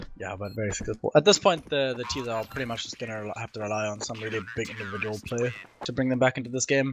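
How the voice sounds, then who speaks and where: Over noticeable background noise, a man with a medium pitch talks at a very fast pace with fairly even intonation. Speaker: esports analyst. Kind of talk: live commentary.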